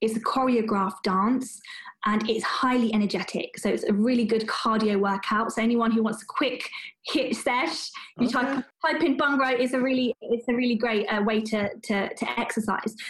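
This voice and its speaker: A woman with a British accent keeps her loudness very even and her intonation fairly even. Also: fairly high pitch for a woman, moderate pace. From London, England. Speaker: doctor. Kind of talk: interview. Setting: video call.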